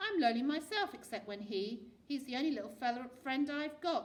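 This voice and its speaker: Gruff and high-pitched, a female-sounding put-on character voice moves at a fairly quick pace. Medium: read story. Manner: curt, gruff.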